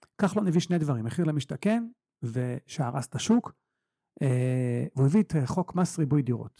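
On a very clean recording with a silent background, a man with a fairly high pitch talks at a fairly quick pace in a dark, mellow, somewhat breathy tone, with lively intonation and a dry, close sound with no echo. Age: 40s. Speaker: real estate investor and mentor. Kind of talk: casual interview. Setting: office. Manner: animated.

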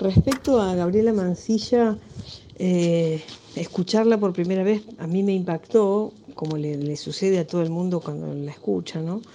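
Using an ordinary speaking voice, a woman talks at a fairly slow pace with a medium pitch and ordinary pitch variation. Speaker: film director. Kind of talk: interview.

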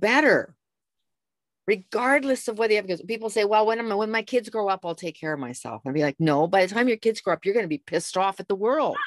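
A woman with a Canadian accent uses an ordinary speaking voice at a medium pitch, recorded dry and close with no echo. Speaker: lifestyle coach and jazz singer. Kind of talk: interview.

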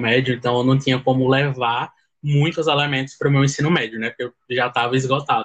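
At a fairly quick pace, a man with a somewhat breathy, fairly high voice speaks in a monotone, flat way. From Pernambuco, Brazil (sertão). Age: 20s. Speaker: law student, fan club admin. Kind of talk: casual chat.

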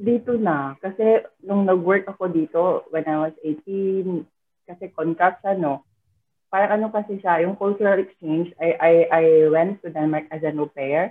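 A woman speaks at a fairly low pitch. Her pace is fairly slow, with ordinary pitch variation. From Philippines, Mindanao (Butuan, Visayan speaker). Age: 30s. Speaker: overseas worker, nanny and financial coach. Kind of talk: casual interview. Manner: halting, frequent laughter.

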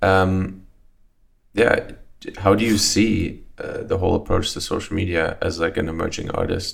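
A man speaks at a moderate pace in a fairly low, somewhat breathy voice with fairly even intonation. His speech has long, frequent pauses. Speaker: podcast host. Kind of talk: casual interview chat. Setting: studio.

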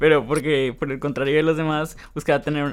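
With a Mexican accent, a man talks at a fairly quick pace. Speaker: podcast co-host. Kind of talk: casual chat.

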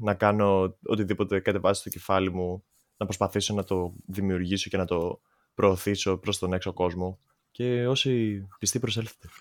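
Using a plain, everyday voice, a man keeps a moderate pace. His pitch sits fairly low. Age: 20s. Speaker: musician. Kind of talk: casual chat. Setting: video call.

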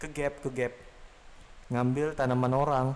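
A man's voice at medium pitch. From Samarinda, East Kalimantan, Indonesia. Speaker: podcast host. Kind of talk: casual chat.

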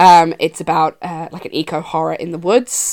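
A woman with a western Irish accent speaks at a fairly low pitch on a very clean recording with a silent background. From rural west of Ireland. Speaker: podcast host and horror film writer. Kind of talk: casual chat.

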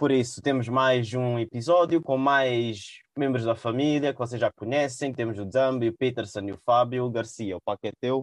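Speaking in a normal speaking voice, a man keeps a medium pitch, fairly even intonation and a moderate pace. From São Tomé and Príncipe heritage. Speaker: podcast host. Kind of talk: casual chat.

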